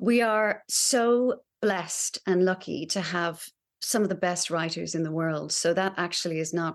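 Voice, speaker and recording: At a moderate pace, a woman with an unremarkable speaking voice talks at a fairly low pitch with ordinary pitch variation. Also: quiet background. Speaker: actor. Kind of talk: casual interview.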